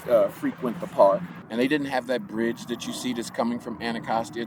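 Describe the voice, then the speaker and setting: A man with an American accent speaks at a moderate pace with lively intonation, over noticeable background noise. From Southeast Washington DC. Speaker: park community worker. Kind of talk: oral history interview. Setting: outdoors in a park.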